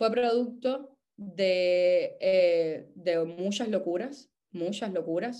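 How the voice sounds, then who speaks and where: Her tone is dark and mellow. This woman's pitch sits in the medium range with ordinary variation. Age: 30s. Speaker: actress and cancer survivor. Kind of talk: testimony. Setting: voice message. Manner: halting.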